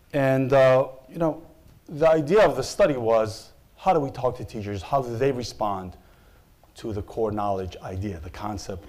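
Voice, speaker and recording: A man with an Israeli accent talks at a moderate pace, his intonation lively. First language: Hebrew. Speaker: opinion researcher. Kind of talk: panel presentation.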